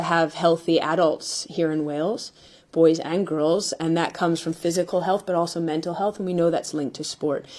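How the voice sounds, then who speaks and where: With a Canadian accent, a woman speaks at a fairly quick pace. Her voice is fairly low, with a dark, mellow tone. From Canada. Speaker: football manager. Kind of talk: press conference.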